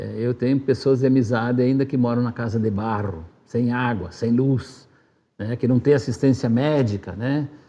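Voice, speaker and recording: Dark and mellow in tone, the voice keeps a moderate speed and fairly even intonation. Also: man, medium pitch for a man. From southern Brazil, Rio Grande do Sul (Marau). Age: 60s. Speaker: former city council president, community radio worker. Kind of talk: interview.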